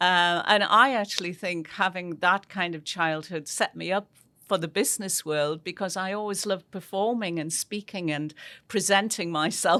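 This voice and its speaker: In a very clean recording with a silent background, a woman with a northeast English accent speaks in a bright, sharp tone, her loudness swinging widely and her pitch varying in an ordinary way. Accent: northeast English, kept. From northeast England, near Newcastle. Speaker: business executive and board chair. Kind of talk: interview.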